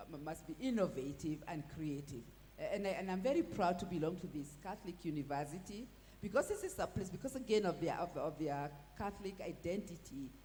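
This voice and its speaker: A woman's somewhat breathy, fairly low voice, dark and mellow in tone, with lively intonation. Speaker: law professor. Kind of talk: panel discussion. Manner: halting, many repetitions.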